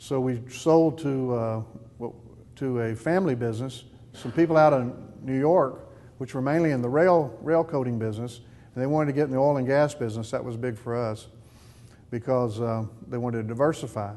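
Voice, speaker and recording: Using a Texan accent, a man with a dark, mellow tone and medium pitch talks at a fairly quick pace with ordinary pitch variation and long, frequent pauses. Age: 60s. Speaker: business owner. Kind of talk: testimony. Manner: halting.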